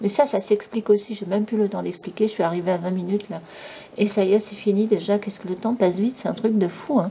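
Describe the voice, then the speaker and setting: A woman talks at a very fast pace with a medium pitch. Noticeable background noise runs underneath. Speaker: YouTube commentator. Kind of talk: monologue commentary. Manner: animated.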